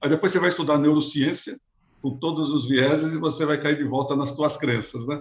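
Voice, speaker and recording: A man speaks with a fairly high pitch. His intonation is monotone and flat. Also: fairly quick pace. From Brazil, São Paulo east zone. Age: 60s. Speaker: business executive. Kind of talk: interview.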